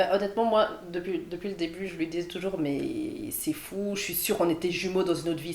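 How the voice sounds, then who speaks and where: At a fairly quick pace and medium pitch, a woman speaks with ordinary pitch variation while noticeable background noise plays behind her. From Belgium, Liège. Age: 20s. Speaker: dancer. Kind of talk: casual interview chat.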